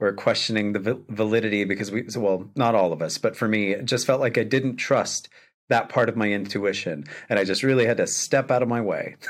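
Speaking at a fairly quick pace, a man holds a medium pitch. His pitch variation is ordinary. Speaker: podcast host. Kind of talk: casual interview chat. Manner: warm, enthusiastic.

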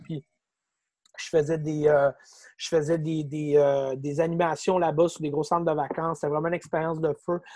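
A man talks with a Quebec accent in a fairly high pitch. His intonation is monotone and flat, and the sound is dry and close with no echo. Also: quiet background. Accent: Québécois French. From Quebec City. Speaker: comedian and content creator. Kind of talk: casual chat.

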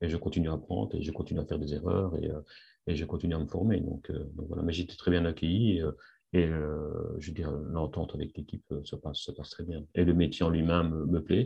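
A man's very deep, low voice, somewhat breathy. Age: 50s. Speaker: industrial engineer returning to work after sick leave. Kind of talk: testimony interview. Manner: halting, many repetitions and fillers.

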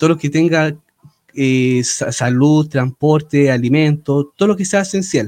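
With a Chilean accent, a man speaks at a fairly slow pace and a fairly high pitch. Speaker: podcast co-host, musician. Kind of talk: casual chat.

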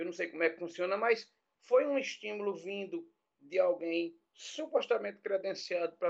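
A man talks in a high pitch with lively intonation, keeping a moderate pace. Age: 50s. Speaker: Portuguese teacher, university civil servant. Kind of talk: casual chat. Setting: live-streamed podcast.

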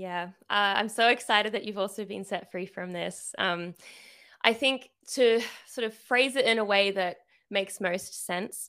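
On a very clean recording with a silent background, a woman with an Australian accent speaks at a fairly slow pace. Her pitch is medium with ordinary variation, and her tone is bright and sharp. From Sydney, Australia. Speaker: artist and writer, small business owner. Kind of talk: casual chat.

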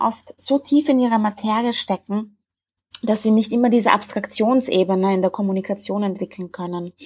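Somewhat breathy, the speaker keeps a moderate pace and ordinary pitch variation. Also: woman. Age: 30s. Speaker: marketing agency founder. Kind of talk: interview.

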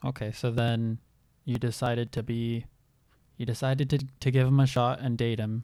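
Monotone and flat, a man's medium-pitched voice with a dark, mellow tone comes through a very clean recording with a silent background. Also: moderate pace. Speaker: podcast host. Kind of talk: casual interview with family member.

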